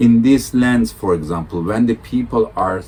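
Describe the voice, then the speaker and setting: A man with a Turkish accent speaks at a medium pitch. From Turkey. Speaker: world touring cyclist. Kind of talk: interview. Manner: halting.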